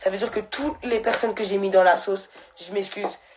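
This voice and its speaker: The woman's medium-pitched voice stays fairly even in intonation as she talks at a moderate speed. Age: 20s. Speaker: social media personality. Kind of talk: live stream monologue. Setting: live stream. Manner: emotional, halting.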